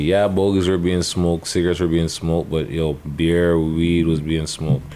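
In a Toronto accent, a man talks at a moderate pace with a very deep, low pitch. His intonation is monotone and flat over noticeable background noise. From Canada, Toronto area. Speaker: podcast co-host. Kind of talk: casual chat.

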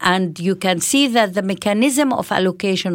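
Lively in intonation, a woman with an Arabic accent speaks at a fairly quick pace. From Israel, Palestinian community. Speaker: politician. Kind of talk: interview. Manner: halting, many hesitations.

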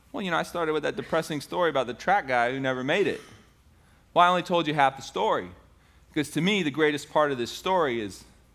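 A man with an American accent speaks at a fairly quick pace with vocal fry and very wide pitch swings. The recording is very clean, with a silent background. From US South, Tampa, Florida. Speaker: pastor. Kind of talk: sermon. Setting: church.

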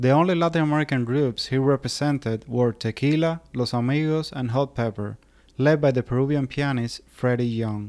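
A man uses a normal speaking voice at a medium pitch. He speaks at a moderate pace with ordinary pitch variation. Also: very clean recording, silent background. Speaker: podcast host. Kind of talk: scripted narration.

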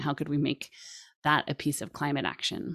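A woman with an American accent talks at a fairly quick pace in a very deep, low pitch with vocal fry. The sound is dry and close, with no echo. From US West Coast, Sonoma, California. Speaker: climate scientist, professor. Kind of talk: lecture. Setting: video call.

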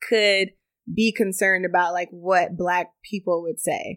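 Using a plain, everyday voice, a woman with an American accent speaks at a medium pitch with fairly even intonation. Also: very clean recording, silent background. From Texas, Pflugerville near Austin. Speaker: beauty brand founder. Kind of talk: casual interview.

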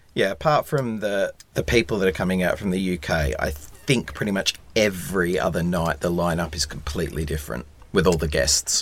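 A man with an Australian accent speaks at a very deep, low pitch. His intonation is lively and his pace fairly quick. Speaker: tour producer. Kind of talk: casual chat.

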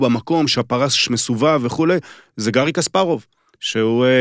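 In a dry, close recording with no echo, a man speaks at a moderate pace in a normal speaking voice with ordinary pitch variation. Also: very clean recording, silent background. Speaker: former chess federation chairman. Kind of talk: casual chat.

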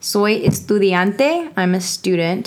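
A woman speaks with a Texan accent. Her pitch is medium. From Texas. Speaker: medical student. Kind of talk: educational casual chat. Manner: animated.

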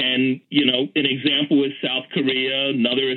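A man with an American accent talks at a fairly slow pace and a medium pitch in an unremarkable speaking voice. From US Northeast, Philadelphia. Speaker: city official and urban planning professor. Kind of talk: interview. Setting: phone call.

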